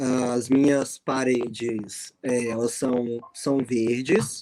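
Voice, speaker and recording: A man with a Minas Gerais accent talks at a medium pitch in a dark, mellow tone, with a dry, close sound and no echo. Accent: mineiro. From Minas Gerais, Brazil. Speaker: math teacher. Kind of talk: video call panel. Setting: video call from bedroom. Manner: halting.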